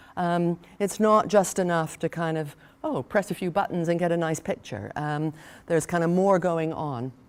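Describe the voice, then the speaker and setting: On a very clean recording with a silent background, a woman with an ordinary speaking voice talks at a moderate pace, her fairly low pitch showing ordinary variation. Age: 60s. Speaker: professor. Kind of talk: keynote lecture. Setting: conference stage with audience, seated. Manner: conversational with frequent fillers.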